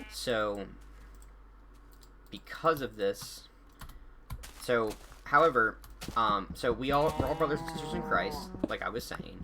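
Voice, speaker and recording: Over music in the background, a man speaks at a fairly slow pace with long, frequent pauses. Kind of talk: casual monologue to camera. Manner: halting, many fillers and restarts.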